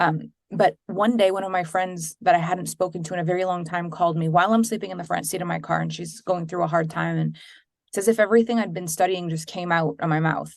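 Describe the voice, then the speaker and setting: A woman speaks very fast at a fairly low pitch, her intonation fairly even, against a quiet background. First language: French. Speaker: business coach and entrepreneur. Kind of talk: interview.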